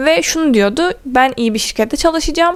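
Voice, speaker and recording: This woman speaks at a fairly quick pace with lively intonation. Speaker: content creator. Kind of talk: Q&A vlog. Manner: fast.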